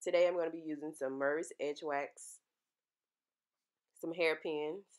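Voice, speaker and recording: With a very deep, low pitch, a woman speaks in a monotone, flat intonation at a moderate pace. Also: quiet background. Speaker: hair tutorial creator. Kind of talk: casual tutorial talk to camera.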